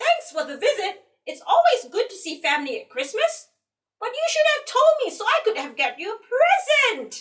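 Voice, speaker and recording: A put-on character voice, female-sounding and squeaky, hits an extremely high pitch and swings very widely at a moderate pace. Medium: read story. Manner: excitable.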